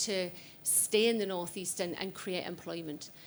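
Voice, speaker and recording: A medium-pitched woman's voice with a North East England accent, fairly even intonation, and a very clean recording with a silent background. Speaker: audience member, business owner. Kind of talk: audience question. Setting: stage with audience at party conference.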